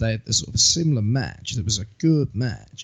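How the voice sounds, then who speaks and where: A man with a medium-pitched, somewhat breathy voice talks at a moderate pace with lively intonation. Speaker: wrestling podcast host. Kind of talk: casual chat.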